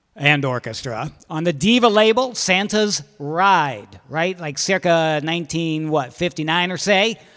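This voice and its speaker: A man's high-pitched voice with lively intonation, in a very clean recording with a silent background. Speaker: radio host. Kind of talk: casual radio banter. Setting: studio. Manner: rambling, jokey, halting.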